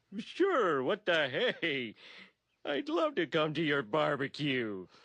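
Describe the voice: A cartoonish character voice with a low-to-middle pitch delivers its lines at a fairly slow pace.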